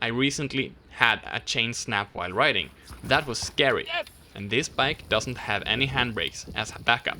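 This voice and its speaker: Speaking in a Swedish accent, a man has a bright, sharp tone. His medium pitch varies in an ordinary way at a moderate pace. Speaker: bike YouTuber. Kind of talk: casual vlog talk.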